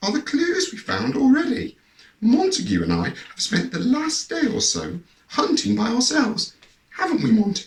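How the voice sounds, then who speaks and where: A put-on character voice, croaky and husky, at a moderate pace. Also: man, extremely high pitch for a man. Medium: read story. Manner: genteel, emotional.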